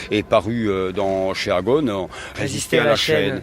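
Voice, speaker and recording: Here a man talks at a fairly low pitch with ordinary pitch variation. Noticeable background noise is present. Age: 60s. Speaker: retired factory worker and trade unionist. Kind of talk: interview. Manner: halting, many hesitations.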